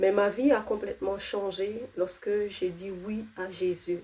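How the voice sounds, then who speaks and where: Dark and mellow describes the tone. Delivery is flat, staying monotone throughout. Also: woman. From outside France, arrived at fifteen. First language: not French (speaking French). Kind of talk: testimony. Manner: hesitant, many fillers.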